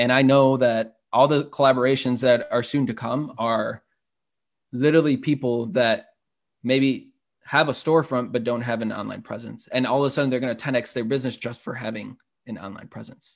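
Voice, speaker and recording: Over a quiet background, a man with an unremarkable speaking voice talks at a fairly quick pace, his medium pitch carrying fairly even intonation. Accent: American. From Chicago (Humboldt Park). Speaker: startup entrepreneur. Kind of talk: interview.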